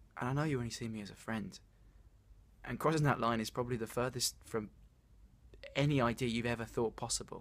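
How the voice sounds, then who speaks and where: A man at a very fast pace, with fairly even intonation. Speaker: actor performing a monologue. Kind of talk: dramatic monologue, confession of love. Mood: earnest, vulnerable, a bit anxious. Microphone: phone near.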